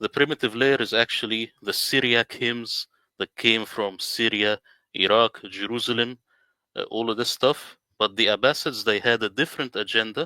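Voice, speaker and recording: A man with an Arabic accent speaks at a moderate pace in a medium pitch, with a bright, sharp tone and fairly even intonation. The recording is very clean and dry, with a close sound, no echo and a silent background. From Middle East. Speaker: independent Quran translator. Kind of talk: presentation in a livestream interview.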